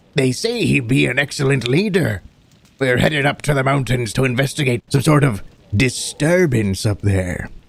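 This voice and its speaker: A man does a put-on character voice. He speaks at medium pitch and a moderate pace. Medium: actual play. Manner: hearty, folksy.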